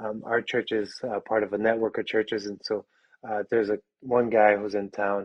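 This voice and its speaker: A moderate pace with an American accent. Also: man. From Chicago, Little Village neighborhood. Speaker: pastor. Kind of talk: casual interview.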